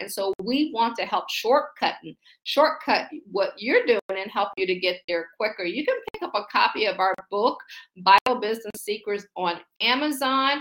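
With an American accent, a woman talks at a moderate pace in a fairly high pitch, her intonation lively and her tone animated. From US Midwest (Akron, Ohio). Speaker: faith-based business coach. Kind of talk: motivational livestream talk. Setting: livestream with chat.

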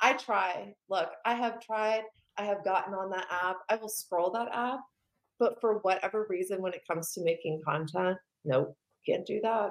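Her voice an unremarkable speaking voice, a woman talks at a medium pitch and moderate pace with ordinary pitch variation. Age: 30s. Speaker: podcast guest, content creator. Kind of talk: casual chat.

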